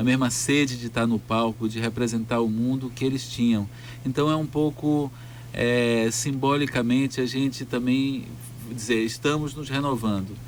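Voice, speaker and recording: A man's medium pitch in a monotone, flat intonation. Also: moderate pace. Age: 70s. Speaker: theatre director. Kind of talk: radio interview. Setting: radio studio. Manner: halting.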